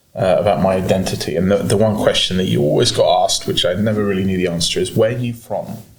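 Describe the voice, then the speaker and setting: This is a man speaking. His accent is American. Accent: sounds British. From mixed: Germany, United States, UK (forces family). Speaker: entrepreneur. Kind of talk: podcast interview. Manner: hesitant, many fillers and restarts.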